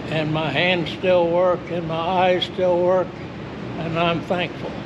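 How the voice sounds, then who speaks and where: Audible room echo and noticeable background noise surround a man with a high pitch. He talks at a very slow pace in a monotone, flat intonation. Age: 80s+. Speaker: nursery founder, horticulturist. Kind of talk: demonstration explanation. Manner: slightly halting.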